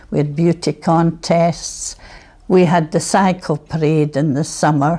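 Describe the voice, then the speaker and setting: A woman with a Scottish accent speaks in a fairly low voice with a dark, mellow tone. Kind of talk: reminiscence interview.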